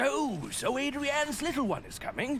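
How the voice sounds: Putting on a character voice, a man talks fairly slowly at an extremely high pitch, with a fairly bright tone and big pitch swings.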